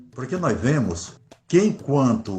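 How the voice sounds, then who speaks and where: Somewhat breathy, a man speaks at a fairly high pitch and a fairly slow pace. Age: 60s. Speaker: Afro-Brazilian religious leader. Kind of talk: interview.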